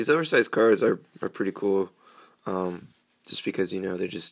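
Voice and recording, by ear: Speaking at a moderate pace, a man with a low pitch uses lively intonation and some vocal fry.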